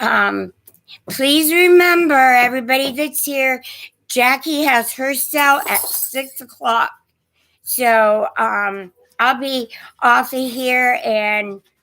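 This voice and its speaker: This woman's voice is high-pitched, with a bright, sharp tone and a shaky quality. She talks at a very slow pace. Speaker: online antiques seller. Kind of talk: live stream chat. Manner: shaky voice; hesitant, many fillers.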